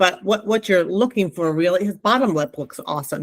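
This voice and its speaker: A woman speaks with a New Jersey accent in a fairly low voice, her pitch moving in an ordinary way. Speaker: lactation consultant. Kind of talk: class instruction. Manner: casual, conversational.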